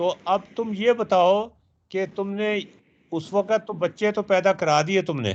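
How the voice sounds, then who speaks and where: A man's high-pitched voice with fairly even intonation, over a quiet background. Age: 70s. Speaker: math teacher. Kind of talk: online lecture.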